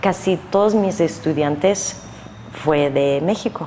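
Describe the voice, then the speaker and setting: A woman with an American accent at a fairly slow pace, ordinary pitch variation and noticeable background noise. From US Northeast (New Jersey). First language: English (speaking Spanish). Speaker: painter. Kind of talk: interview. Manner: halting.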